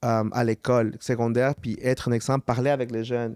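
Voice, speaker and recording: Speaking with a Quebec accent, a medium-pitched man has a flat, monotone delivery and a dry, close sound with no echo. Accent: Quebec street French. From Montreal, Quebec. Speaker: musician. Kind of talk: casual chat.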